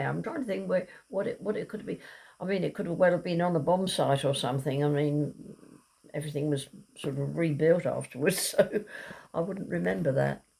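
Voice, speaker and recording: With a southern English accent, a woman talks at a moderate pace. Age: 80s+. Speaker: elderly mother reminiscing. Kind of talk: casual chat. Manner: halting.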